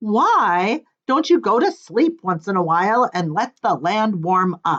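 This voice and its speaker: A woman puts on a character voice at a medium pitch. She talks at a fairly slow pace. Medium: read story. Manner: confident.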